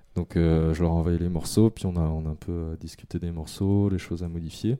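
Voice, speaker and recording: In a very clean recording with a silent background, a man with a very deep, low pitch and a dark, mellow tone speaks at a fairly quick pace in a flat monotone. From France, Yvelines (Paris region). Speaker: architect and electronic musician. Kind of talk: casual interview. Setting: home studio. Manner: hesitant, frequent fillers and repetitions.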